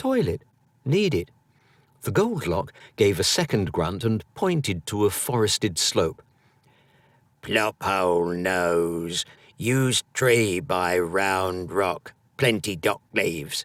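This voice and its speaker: A put-on character voice from a man, gravelly and gruff, fairly low in pitch, at a fairly slow pace with long, frequent pauses, on a very clean recording with a silent background. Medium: read story. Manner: broken, clipped speech; gruff, grunting.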